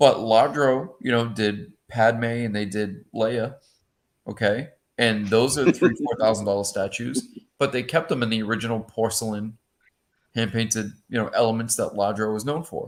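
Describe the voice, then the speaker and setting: A man speaks in a Boston accent. His pace is moderate and his pitch variation ordinary. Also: medium pitch for a man. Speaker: panelist on collectors show. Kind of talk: casual chat.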